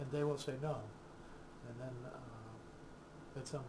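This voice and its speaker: A man speaks at a medium pitch with fairly even intonation. The recording has audible room echo and noticeable background noise. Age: 60s. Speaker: counselor. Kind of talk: casual explanatory video talk. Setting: recorded to camera. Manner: halting, with many fillers.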